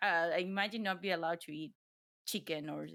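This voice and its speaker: On a very clean recording with a silent background, a woman with a non-native accent speaks at a moderate pace in a bright, sharp tone with ordinary pitch variation. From Ecuador. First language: Spanish. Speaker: streamer. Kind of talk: casual chat. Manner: halting.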